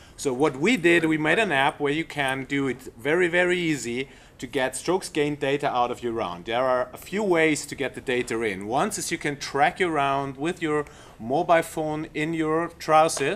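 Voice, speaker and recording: A man with a German accent talks at a moderate pace and a fairly high pitch, with ordinary pitch variation. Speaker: golf coach presenting app. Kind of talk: product demo presentation. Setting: trade show seminar room. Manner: halting.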